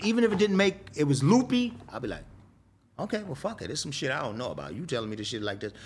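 Very fast and marked by vocal fry, this man's voice sits fairly high. Its pitch swings very widely. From New York, South Bronx. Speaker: rapper. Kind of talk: casual interview storytelling. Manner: animated.

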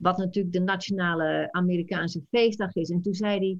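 A woman speaks with a slight Frisian accent. Her voice sits at a medium pitch. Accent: very slight Frisian melody. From Friesland, Netherlands. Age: 60s. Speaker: Dutch language teacher. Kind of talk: interview.

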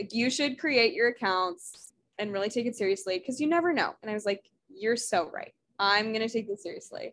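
A woman talks at a fairly quick pace in a fairly high pitch, with an ordinary speaking voice. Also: lively intonation. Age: 20s. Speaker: podcast co-host. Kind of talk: casual chat. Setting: video call.

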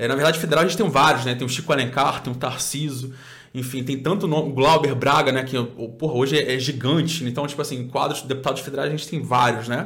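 There's audible room echo as a man talks at a very fast pace with fairly even intonation. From Cabo Frio, Rio de Janeiro state, Brazil. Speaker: documentary maker and political aide, environmental activist. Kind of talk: casual interview.

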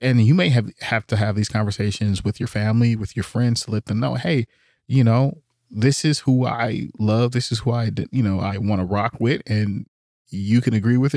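In a very clean recording with a silent background and a dry, close sound free of echo, a man with an American accent uses a normal speaking voice, medium pitch and ordinary pitch variation at a fairly quick pace. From US, Oakland, California. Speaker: podcast host. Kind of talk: casual chat.

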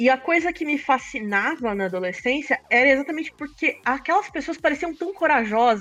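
Hardly pausing, a woman talks at a moderate pace in a high pitch. Her pitch swings very widely. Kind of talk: casual chat. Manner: stutters.

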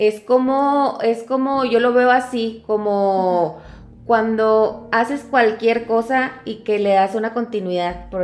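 A woman talks at a very slow pace with hardly any pauses and fairly even intonation. Her loudness swings widely. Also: fairly high pitch for a woman. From Mexico, Chihuahua (Cuauhtémoc). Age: 40s. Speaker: foundation director and lawyer. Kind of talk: casual interview. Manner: hesitant, many fillers.

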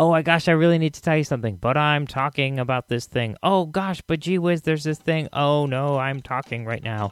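Speech with ordinary pitch variation flows with hardly any pauses on a very clean recording with a silent background. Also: man, fairly high pitch for a man, fairly quick pace. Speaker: podcast host. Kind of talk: casual, friendly podcast intro. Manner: relaxed, chatty, enthusiastic.

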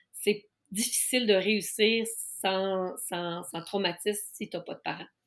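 Speaking at a very slow pace, a woman keeps a medium pitch and fairly even intonation but has big swings in loudness. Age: 50s. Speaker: life coach specializing in neurodiversity. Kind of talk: casual interview.

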